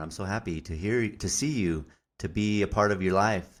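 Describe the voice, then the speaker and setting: A man's very deep, low, resonant voice in a very clean recording with a silent background. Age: 30s. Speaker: podcast host. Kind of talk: casual chat.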